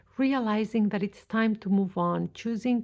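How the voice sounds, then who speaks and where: In a very clean recording with a silent background, a woman talks at a fairly slow pace with a dark, mellow tone, a medium pitch and fairly even intonation. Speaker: tarot reader. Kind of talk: tarot reading.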